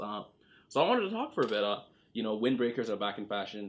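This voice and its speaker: At a very fast pace, a man talks in a medium-pitched voice. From Toronto. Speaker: podcast host. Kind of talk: casual podcast conversation.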